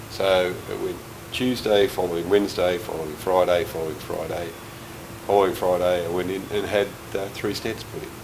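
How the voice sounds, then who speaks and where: In a room with audible echo and noticeable background noise, a man speaks fairly quickly in a very deep, low, flat monotone. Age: 60s. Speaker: heart patient. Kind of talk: testimony. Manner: halting.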